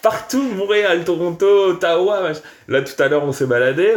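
His pitch moves in very wide swings. The man keeps a moderate pace. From France. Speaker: podcast host. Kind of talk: casual chat.

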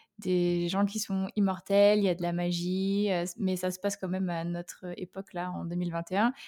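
A woman with a medium pitch and a dark, mellow tone talks at a fairly slow pace with hardly any pauses. Her intonation is monotone and flat, and the sound is dry and close with no echo. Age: 20s. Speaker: author and software engineer. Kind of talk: casual interview.

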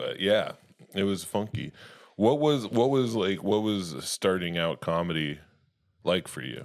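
A man with a fairly low voice and lively intonation speaks at a fairly slow pace, leaving long, frequent pauses. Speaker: comedian podcast host. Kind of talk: casual comedy podcast chat. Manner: joking, rambling, laughs a lot.

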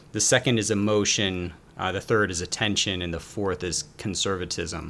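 Speaking at a moderate pace, a man with an American accent has a plain, everyday voice pitched fairly low. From US South, Atlanta, Georgia. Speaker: behavioral finance author. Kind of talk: interview.

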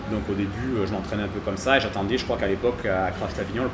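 Delivered at a very fast pace, this man's speech comes with noticeable background noise and audible room echo. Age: 30s. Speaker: CrossFit gym coach. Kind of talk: casual interview. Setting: in a gym.

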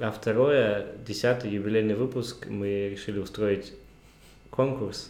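A man with a fairly low pitch speaks at a moderate speed. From Kazakhstan. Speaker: podcast host. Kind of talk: casual chat.

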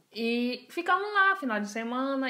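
A woman's voice amid noticeable background noise. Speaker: podcast host. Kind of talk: casual chat.

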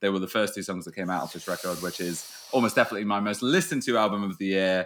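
Speaking very fast in a British accent, a man with a bright, sharp tone keeps fairly even intonation in a very clean recording with a silent background. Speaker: podcast co-host. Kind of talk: casual chat.

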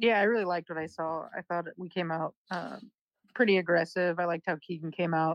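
A woman talks fairly quickly in a plain, everyday voice. Her pitch is fairly low. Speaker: podcast co-host. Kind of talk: casual sports chat.

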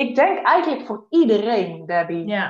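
A moderate pace marks this recording. The voice is a woman's. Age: 30s. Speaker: psychiatric nurse and horse coach. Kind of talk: interview. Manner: halting.

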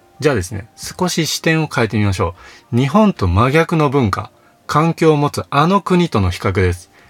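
Over music in the background, a man speaks with very wide pitch swings. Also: fairly high pitch for a man, moderate pace, dry, close sound with no echo. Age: 30s. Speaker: counselor and author, podcast host. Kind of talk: solo monologue podcast. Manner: frequent filler words.

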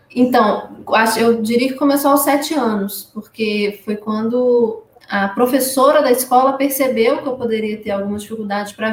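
With noticeable background noise behind her, a woman with a fairly high pitch talks at a moderate pace and a fairly even intonation. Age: 30s. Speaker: patient advocate with inherited retinal disease. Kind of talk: live-stream interview.

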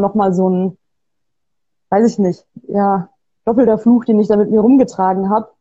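At a fairly slow pace, a woman talks in a somewhat breathy voice with a dark, mellow tone. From Bavaria, Germany. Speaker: author and designer. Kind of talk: interview. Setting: video call.

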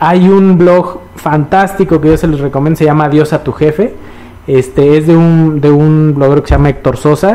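Noticeable background noise runs under the recording. A man speaks at a moderate pace with a fairly high pitch. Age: middle-aged. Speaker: financial advisor. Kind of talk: casual chat. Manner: halting.

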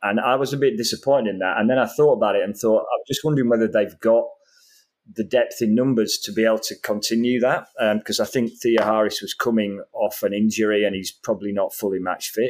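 A man speaks very fast in a Yorkshire accent. His pitch is medium and his intonation fairly even. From northern England, Yorkshire. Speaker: football podcast panelist. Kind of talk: casual chat.

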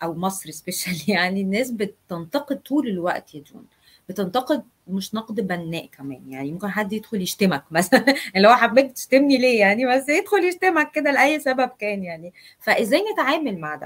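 A woman talks at a moderate pace in a somewhat breathy voice. Her pitch is fairly high and swings very widely. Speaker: live stream host. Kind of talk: live interview.

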